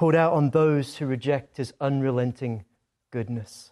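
A man speaks at a fairly slow pace with a dark, mellow tone. His pitch varies in an ordinary way, and the recording is very clean with a silent background. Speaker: preacher. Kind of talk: sermon. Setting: stage with audience.

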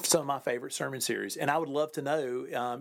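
Very fast and with fairly even intonation, a man speaks in a warm tone. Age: 40s. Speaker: pastor. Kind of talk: podcast monologue. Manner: warm, casual with fillers.

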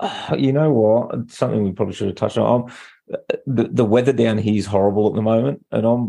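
Against a quiet background, a man with an Australian accent speaks fairly quickly at a fairly low pitch. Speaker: podcast co-host. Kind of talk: casual chat.

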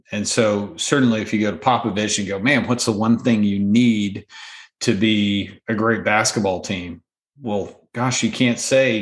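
With a quiet background behind him, a man speaks in a plain, everyday voice of medium pitch, at a moderate pace with ordinary pitch variation. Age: 40s. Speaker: former business owner and CEO. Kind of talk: interview.

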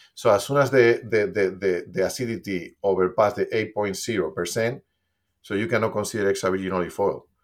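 Speaking at a fairly quick pace with a Spanish accent, a man with a fairly low pitch uses ordinary pitch variation in a very clean recording with a silent background. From Spain. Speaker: olive oil company co-founder. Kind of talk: casual interview. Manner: animated.

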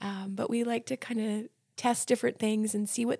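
In a very clean recording with a silent background and a dry, close sound with no echo, a woman with an American accent speaks at a fairly high pitch. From New Jersey. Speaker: special education instructor. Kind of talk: casual interview.

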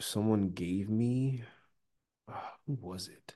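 A man's fairly low voice at a very slow pace, with ordinary pitch variation and a quiet background. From Nigeria. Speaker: actor. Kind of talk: interview conversation.

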